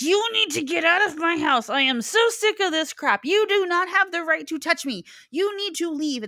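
In a put-on character voice, a woman shouts angrily at an extremely high pitch. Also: moderate pace. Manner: yelling, angry.

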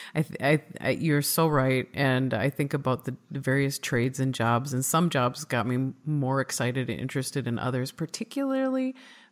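A woman's very deep, low voice in a Midwestern accent, fairly even in intonation, on a very clean recording with a silent background. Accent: Midwest US. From Minnesota, US Midwest. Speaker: podcast host. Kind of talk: casual interview conversation.

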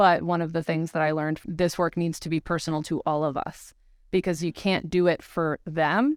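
A woman with a plain, everyday voice and a fairly low pitch talks at a moderate pace with fairly even intonation, in a very clean, silent-background recording that is dry and close with no echo. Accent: American. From upstate New York. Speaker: civil rights attorney. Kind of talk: casual chat.

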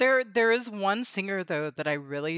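A woman's voice with lively intonation. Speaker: podcast host. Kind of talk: casual interview chat.

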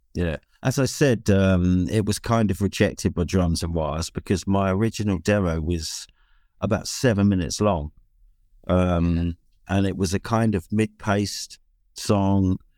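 A man with a British accent and a fairly low pitch, moderate pace and ordinary pitch variation, on a very clean recording with a silent background and a dry, close sound with no echo. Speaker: songwriter and bass player. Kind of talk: casual chat. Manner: hesitant, many fillers.

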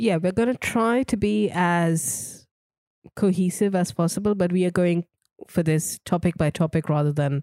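On a very clean recording with a silent background, a woman uses an ordinary speaking voice at a fairly low pitch, with ordinary pitch variation, a moderate pace and very even loudness. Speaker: podcast co-host and editor. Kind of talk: casual chat.

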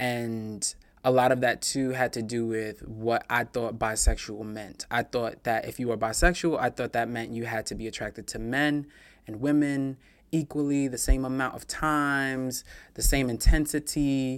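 A man speaks in a plain, everyday voice at medium pitch, keeping a moderate pace and fairly even intonation on a very clean recording with a silent background. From New York, Queens (Far Rockaway). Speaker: YouTuber on self-improvement. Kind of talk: interview conversation.

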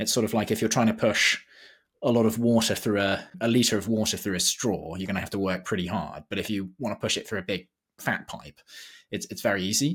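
A plain, everyday voice from a man, fairly low in pitch, fairly quick, with ordinary pitch variation. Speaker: podcast host. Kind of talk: interview, introduction then conversation.

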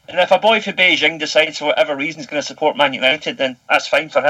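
This man's voice sits fairly high and shows ordinary pitch movement. He speaks at a very fast pace. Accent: Scottish. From Scotland. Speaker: English teacher living in Japan. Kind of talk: casual chat.

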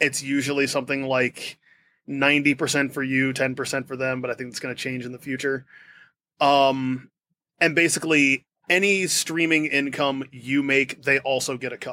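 A man's fairly high-pitched voice at a moderate pace, with monotone, flat intonation. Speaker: musician and composer. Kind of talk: casual chat.

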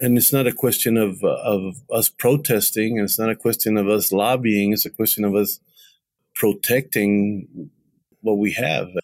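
A man with an American accent speaks at a moderate pace and a fairly low pitch, his loudness very even. The recording is very clean, with a silent background. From Texas. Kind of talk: interview. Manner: halting.

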